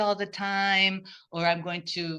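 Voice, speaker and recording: Bright and sharp in tone, a woman with a Portuguese accent speaks at a fairly low pitch. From Brazil. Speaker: podcast guest. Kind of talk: casual interview conversation. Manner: halting, with many restarts.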